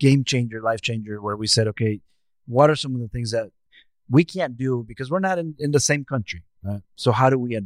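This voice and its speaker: A man with a Mexican accent speaks at a fairly quick pace, his medium pitch moving with ordinary variation. The recording is very clean, with a silent background. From Mexico. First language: Spanish. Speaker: equity consultant and speaker. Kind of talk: podcast interview.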